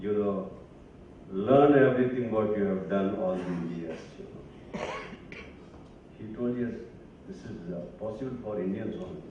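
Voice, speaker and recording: Speech at a fairly slow pace with long, frequent pauses, ordinary pitch variation and big swings in loudness comes through noticeable background noise and audible room echo. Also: man, fairly low pitch for a man. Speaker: academic speaker. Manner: halting.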